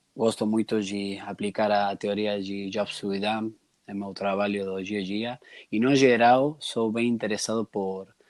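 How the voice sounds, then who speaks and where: In a very clean recording with a silent background, a man speaks in a flat monotone at a fairly low pitch with a slight Argentine accent. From Argentina. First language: Spanish (speaking Portuguese). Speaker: entrepreneur and customer researcher. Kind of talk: podcast interview. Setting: recorded conversation with some noise. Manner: halting, with restarts.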